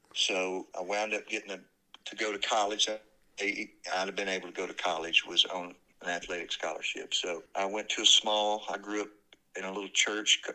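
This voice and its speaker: A man with a Southern US accent talks in a fairly low pitch with a bright, sharp tone and monotone, flat intonation. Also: moderate pace. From US South, north Alabama (Decatur). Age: 60s. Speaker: former minister, house flipper. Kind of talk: casual interview conversation.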